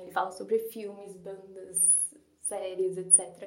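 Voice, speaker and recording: In a São Paulo accent, a woman speaks at a fairly slow pace and medium pitch with fairly even intonation, and room echo is audible. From São Paulo, Brazil. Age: 20s. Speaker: literature student and podcaster. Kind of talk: casual monologue.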